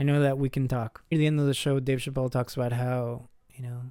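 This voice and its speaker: A man talks at a fairly quick pace in a fairly high pitch with an ordinary speaking voice. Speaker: podcast host. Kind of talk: solo podcast commentary reviewing a TV episode. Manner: casual, conversational.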